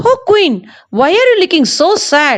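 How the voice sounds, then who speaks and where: Speaking in a put-on character voice, a woman squeaks at an extremely high pitch, swinging very widely up and down at a fairly slow pace. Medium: read story. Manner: gentle, reassuring.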